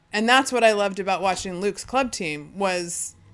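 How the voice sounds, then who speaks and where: In a very clean recording with a silent background, a woman's speech runs at a fairly quick pace. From California (Fresno). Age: 40s. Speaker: beach volleyball player and blogger. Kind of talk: casual chat. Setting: studio, in person.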